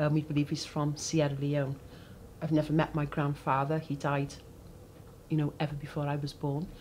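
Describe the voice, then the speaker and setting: Speaking with a Cardiff accent, a woman uses a very deep, low pitch and a flat, monotone delivery. Her voice is somewhat breathy, with long, frequent pauses. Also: moderate pace. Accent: Cardiff Welsh English. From Wales, Cardiff (Ely). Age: 60s. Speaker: interviewee. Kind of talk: oral history interview. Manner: hesitant, many fillers.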